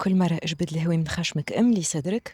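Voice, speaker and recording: A woman with a Tunisian accent speaks at a fairly quick pace in a somewhat breathy voice pitched fairly low. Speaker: yoga instructor. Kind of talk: guided yoga class instruction.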